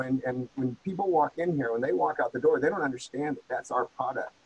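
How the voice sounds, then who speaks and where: With a normal speaking voice, a man talks at a medium pitch and a fairly quick pace. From rural US. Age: 60s. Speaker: former marine and martial arts instructor. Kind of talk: casual interview. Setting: in person, same room.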